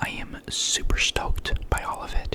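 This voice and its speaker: Noticeable background noise is present as a woman speaks in a whisper. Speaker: ASMR creator. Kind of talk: ASMR ramble to camera. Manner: whispered.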